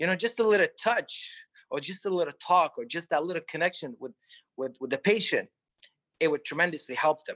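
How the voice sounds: Talking at a fairly quick pace, a man uses a fairly high pitch and a fairly bright tone with ordinary pitch variation.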